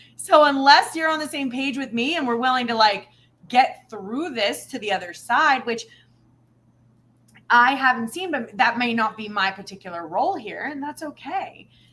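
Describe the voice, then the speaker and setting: A woman's high-pitched, bright, sharp voice with an animated tone at a moderate pace. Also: lively intonation, big swings in loudness. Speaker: spirituality livestream co-host. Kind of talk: casual chat. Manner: loud.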